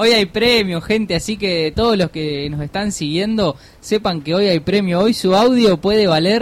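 A fairly slow pace with hardly any pauses. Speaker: podcast co-host. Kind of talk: live radio chat. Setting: radio studio.

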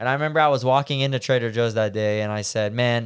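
This man has an unremarkable speaking voice at medium pitch. His intonation stays fairly even. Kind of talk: casual chat.

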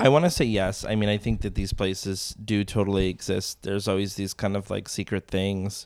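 With an unremarkable speaking voice, a man talks at a fairly quick pace and a fairly low pitch, with fairly even intonation and hardly any pauses. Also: very clean recording, silent background. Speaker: food enthusiast with pastry training. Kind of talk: casual chat.

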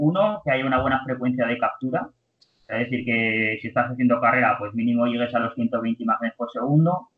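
With ordinary pitch variation and a plain, everyday voice, a man moves along at a fairly quick pace. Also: medium pitch for a man. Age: 30s. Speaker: podiatrist and running biomechanics researcher. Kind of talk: interview.

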